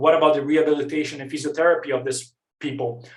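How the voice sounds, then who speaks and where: A man speaks with a non-native accent. His pitch is fairly high. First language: not English. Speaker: researcher. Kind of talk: conference presentation. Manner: fast.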